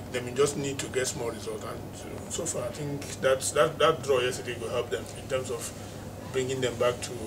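Amid noticeable background noise, a man with a medium pitch talks at a fairly quick pace, his intonation fairly even but his loudness swinging widely. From Nigeria. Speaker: football pundit. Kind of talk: football analysis discussion. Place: office.

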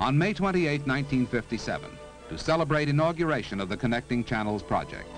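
A man talks at a very fast pace over faint background music, the sound dry with no echo. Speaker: documentary narrator. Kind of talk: formal documentary narration. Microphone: old recording.

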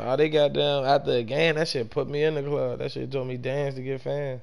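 Speaking fairly quickly, a man uses a medium pitch. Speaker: gaming streamer. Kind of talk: live gameplay stream chat. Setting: home gaming setup, on mic. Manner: casual, profane.

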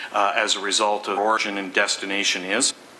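Audible room echo and noticeable background noise. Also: man. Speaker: traffic engineer. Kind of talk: council meeting debate.

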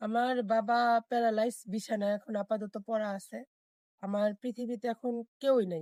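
A woman's fairly high voice with a dark, mellow tone and fairly even intonation, in a dry, close sound with no echo. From Thakurgaon, northern Bangladesh. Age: 20s. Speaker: marriage seeker. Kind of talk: interview. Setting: on camera.

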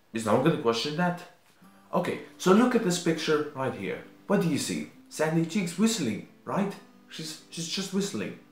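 Faint music plays in the background as a man talks at a moderate pace with audible room echo. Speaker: video creator. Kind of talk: casual vlog commentary. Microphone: webcam.

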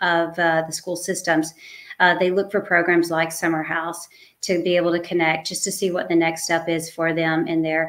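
Over a quiet background, a woman with a fairly low pitch talks at a moderate pace in an ordinary speaking voice. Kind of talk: interview answer. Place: home room.

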